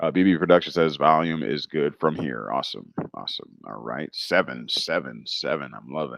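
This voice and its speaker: Very deep and low, a man's voice moves at a fairly quick pace with hardly any pauses, showing ordinary pitch variation, vocal fry and big swings in loudness. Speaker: livestream host answering legal questions. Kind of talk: live Q&A stream. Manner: halting, many fillers.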